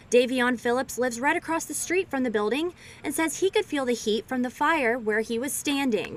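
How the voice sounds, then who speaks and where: Through noticeable background noise, a woman talks at a fairly quick pace, her high pitch carrying lively intonation. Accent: American. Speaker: television reporter and anchor. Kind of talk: field news report voiceover.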